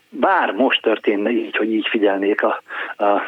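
The delivery moves at a fairly quick pace. Background noise is noticeable. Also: man. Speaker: radio editor-in-chief, former DJ. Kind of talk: interview. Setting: phone call.

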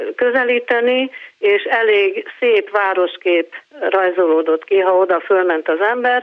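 A woman with a plain, everyday voice speaks at a medium pitch with ordinary pitch variation. Her pace is fairly slow and her loudness very even. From Pécs, Hungary. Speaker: radio caller, doctor. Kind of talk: phone-in call. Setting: phone call.

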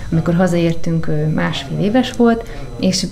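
Moderate-paced speech from a woman amid audible room echo and noticeable background noise. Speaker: widow of a conservationist, co-author of a book. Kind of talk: interview.

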